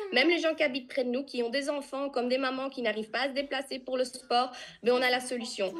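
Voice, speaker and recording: The speaker goes at a very fast pace with fairly even intonation and a slight Flemish accent. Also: woman, high pitch for a woman. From Flanders, Belgium. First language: Dutch (Flemish) (speaking French). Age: 20s. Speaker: nutrition business distributor. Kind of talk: testimony on video call. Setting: video call. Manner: occasionally searching for words.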